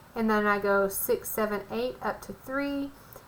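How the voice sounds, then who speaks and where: A woman's bright, sharp tone and fairly high pitch come through with audible room echo. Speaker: math teacher. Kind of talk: lecture.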